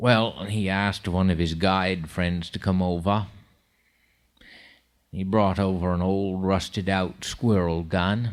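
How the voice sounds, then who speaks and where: With a Maine accent, a man speaks at a fairly slow pace in a very deep, low voice. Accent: Downeast Maine. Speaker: storyteller. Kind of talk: live storytelling performance.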